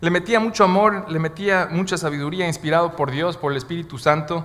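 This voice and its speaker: Speaking at a moderate pace, a man has a bright, sharp tone and a high pitch with ordinary pitch variation. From Bolivia. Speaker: guest preacher. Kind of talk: sermon. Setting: church.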